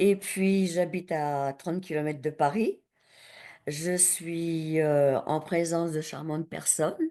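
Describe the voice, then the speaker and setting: Very slowly, a woman speaks with a fairly low pitch and a dark, mellow tone. Her intonation stays fairly even against a quiet background. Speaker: workshop participant. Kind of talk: workshop exercise. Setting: video call from home attic.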